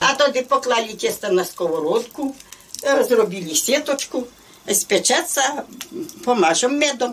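A woman's high-pitched voice at a very slow pace, with very wide pitch swings and light background noise. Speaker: village woman, home baker. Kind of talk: casual explanation while cooking. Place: home room. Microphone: camera far.

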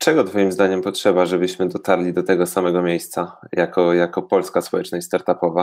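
In a Polish accent, a man talks at a very deep, low pitch with monotone, flat intonation. The recording is very clean, with a silent background. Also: fairly quick pace. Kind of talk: casual interview.

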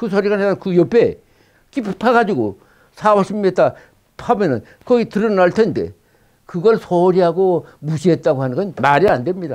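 Against a quiet background, a man with a high pitch and lively intonation talks at a moderate pace, leaving long, frequent pauses. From South Korea. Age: 80s+. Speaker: former intelligence officer. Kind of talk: interview. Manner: halting. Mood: earnest, firmly convinced. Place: studio. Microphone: lapel.

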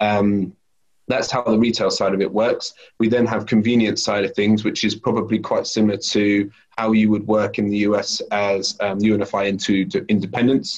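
With a British accent, a man speaks at a moderate pace in a fairly low voice, his intonation monotone and flat and his loudness very even, against a quiet background. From UK. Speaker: food company sales lead. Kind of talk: interview. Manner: halting. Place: kitchen. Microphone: video call.

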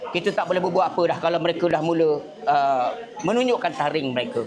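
A man talks very fast at a high pitch. There is noticeable background noise. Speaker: NGO coalition organiser. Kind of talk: speech to press and guests. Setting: gathering at a camp.

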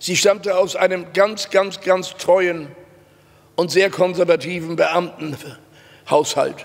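Very slowly and with fairly even intonation, a man speaks at a high pitch. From Hamburg, northern Germany; Germany. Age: 90. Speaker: Holocaust survivor and witness speaker; witness. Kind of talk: testimony. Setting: stage with audience. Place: hall. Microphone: podium.

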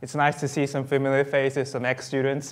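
A man talks at an unhurried, moderate speed with quiet surroundings. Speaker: guest lecturer. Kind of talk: lecture. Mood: friendly, smiling opening. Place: hall.

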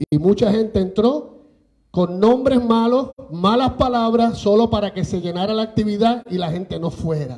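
A man with a dark, mellow tone. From Puerto Rico, Manatí; Puerto Rico. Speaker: radio station manager. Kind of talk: impassioned speech. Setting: legislative chamber with audience. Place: meeting room. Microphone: pa.

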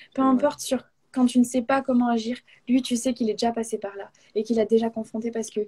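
Against a quiet background, a woman talks at a moderate pace in a high pitch, her tone dark and mellow and her intonation fairly even. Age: 20s. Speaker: guest. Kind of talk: testimony; interview answer, personal faith testimony. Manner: halting. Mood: warm, earnest. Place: home room. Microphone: video call.

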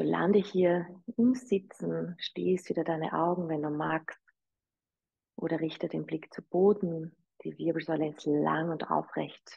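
A woman talks at a very slow pace in a calm, soothing tone. The background is quiet. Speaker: yoga teacher. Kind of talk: guided meditation and breathing instruction. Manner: slow, calm, soothing, gentle; inviting, soft-spoken. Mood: calm, soothing guidance. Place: home room.

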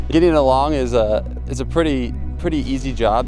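A man's very deep, low voice, dry with no echo, over clear background music. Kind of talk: interview answer. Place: open country.

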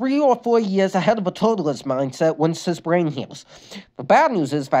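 Lively intonation in a natural reading voice.

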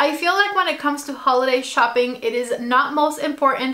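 A woman projects a raised voice with ordinary pitch variation. The background is quiet. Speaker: lifestyle vlogger. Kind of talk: casual vlog chat. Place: home room.

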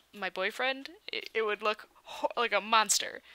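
A woman's voice has a bright, sharp tone and fairly even intonation. The sound is dry, with no echo. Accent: Michigan. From Michigan, US Midwest. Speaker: YouTuber editing a video on a livestream. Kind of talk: casual livestream chat. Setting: livestream. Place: home room.

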